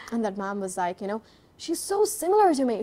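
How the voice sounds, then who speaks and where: A woman talks at a very fast pace with very wide pitch swings. Noticeable background noise runs underneath. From India. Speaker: English and accent trainer. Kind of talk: interview answer.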